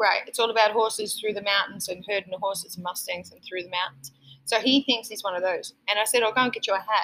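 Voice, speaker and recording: Very fast and bright, sharp in tone, a woman with an Australian accent speaks at a fairly high pitch with ordinary pitch variation. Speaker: restaurant owner and podcast host. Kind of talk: casual chat. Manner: friendly, jokey.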